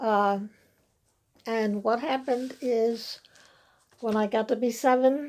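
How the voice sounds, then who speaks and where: Speaking at a very slow pace with long, frequent pauses, a woman with an American accent keeps a fairly high pitch and fairly even intonation. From Western New York, US. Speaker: church member. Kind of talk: interview. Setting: stage with audience. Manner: halting.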